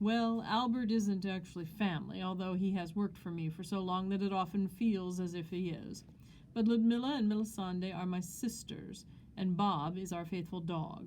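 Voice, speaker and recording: Putting on a character voice, a woman speaks at a medium pitch and a moderate pace with fairly even intonation. Clear background noise and hissing run under her. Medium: read story. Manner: formal, theatrical.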